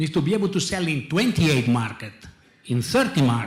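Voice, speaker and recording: Lively intonation in an Italian accent, at a fairly quick pace, with audible room echo. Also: man. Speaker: industry executive. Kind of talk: panel discussion. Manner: halting.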